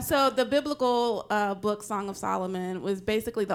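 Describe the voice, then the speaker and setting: A woman with an unremarkable speaking voice and an American accent, at a moderate pace with ordinary pitch variation. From US South, Nashville, Tennessee. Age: 40s. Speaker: podcast co-host. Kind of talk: panel chat. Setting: stage with audience.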